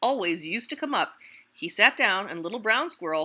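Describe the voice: This is plain reading. It is done aloud.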